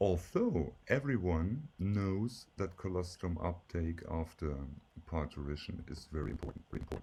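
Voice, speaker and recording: This man's voice sits very deep and low, with a dark, mellow tone and a somewhat breathy quality. He talks at a moderate pace. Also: lively intonation. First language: German. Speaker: professor. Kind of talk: lecture. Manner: slightly halting with fillers.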